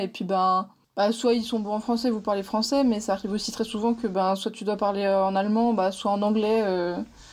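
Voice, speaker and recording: In a fairly high pitch, a woman speaks with monotone, flat intonation. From Switzerland, French-speaking. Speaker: podcast host. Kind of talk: interview. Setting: video call.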